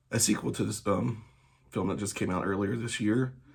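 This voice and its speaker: Noticeable background noise sits behind a man at a fairly low pitch. He speaks at a fairly quick pace with ordinary pitch variation. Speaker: movie news youtuber. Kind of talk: casual news commentary. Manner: soft, low; halting, many fillers.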